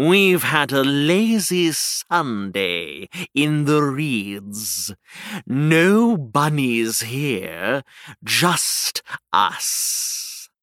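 Using a put-on character voice, a man speaks very slowly at a fairly high pitch, swinging widely in pitch while keeping his loudness very even. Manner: smug, dismissive, mocking.

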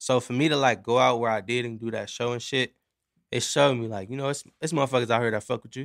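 A man talks at a very fast pace in an American accent. His pitch sits in the medium range. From Los Angeles County, California. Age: 20s. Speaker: rapper and singer. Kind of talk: casual chat. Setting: studio.

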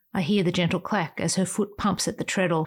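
The recording is very clean with a silent background as a woman speaks at a moderate pace, somewhat breathy, at medium pitch with fairly even intonation. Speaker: podcast host and essayist. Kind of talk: scripted reading of a personal memorial essay. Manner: tender, lyrical reminiscence, lingering on sensory images; wistful and emotional, with soft asides.

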